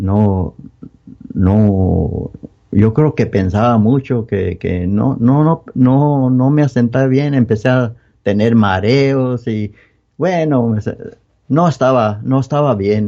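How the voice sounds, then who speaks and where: A man with a medium pitch talks very slowly. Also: ordinary pitch variation. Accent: Mexican. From Mexico, Guanajuato (Moroleón). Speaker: church member giving testimony. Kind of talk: testimony. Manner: halting.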